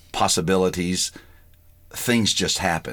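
On a very clean recording with a silent background, a man speaks in a very deep, low voice with a Southern US accent. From US South (Georgia). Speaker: pastor. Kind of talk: interview.

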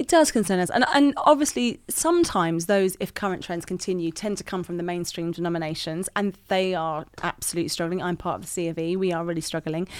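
With a British accent, a woman speaks very fast with ordinary pitch variation. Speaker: youth worker and author. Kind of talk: casual interview chat. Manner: sassy, bubbly, animated.

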